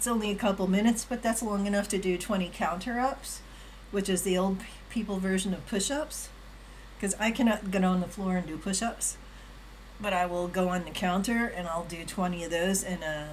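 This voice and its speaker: Amid noticeable background noise, a woman talks at a fairly quick pace, medium in pitch with ordinary variation. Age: 60s. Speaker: live streamer. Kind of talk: casual live-stream chat with exercise demo. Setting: home live stream on camera. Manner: casual, chatty.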